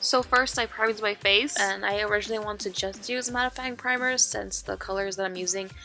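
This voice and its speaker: Music in the background behind a woman at a very fast pace, medium in pitch, with fairly even intonation. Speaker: makeup artist. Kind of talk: makeup tutorial voiceover. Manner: casual, chatty.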